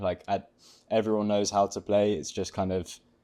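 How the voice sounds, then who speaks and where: A man with an English accent talks fairly quickly at a fairly low pitch. His tone is dark and mellow, with a quiet background. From England. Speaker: college tennis player. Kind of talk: interview. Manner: hesitant, many fillers.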